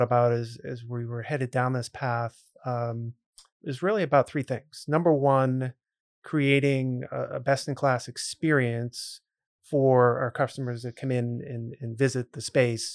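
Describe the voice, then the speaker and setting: A plain, everyday voice with an American accent, fairly even intonation and a fairly slow pace, in a dry, close sound with no echo. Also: man. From central Massachusetts (Grafton, near Worcester). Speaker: brewery owner. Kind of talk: podcast interview.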